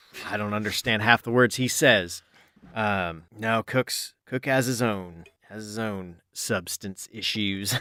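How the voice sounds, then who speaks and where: Doing a put-on character voice, a man mumbles at a fairly slow pace in a fairly low pitch with fairly even intonation, in a very clean recording with a silent background and a dry, close sound with no echo. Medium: actual play. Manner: halting, mumbling, full of fillers.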